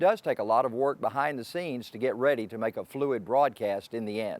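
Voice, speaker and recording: Recorded very cleanly against a silent background, a man with a Southern US accent talks at medium pitch with ordinary pitch variation. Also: fairly quick pace. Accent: Southern US (Georgia). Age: 60s. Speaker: racing announcer. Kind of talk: interview monologue.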